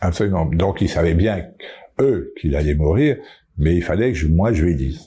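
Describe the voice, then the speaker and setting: A man with a very deep, low pitch and a dark, mellow, somewhat breathy tone speaks at a moderate pace with lively intonation. His loudness stays very even, and he takes long, frequent pauses. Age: 70s. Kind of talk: interview answer.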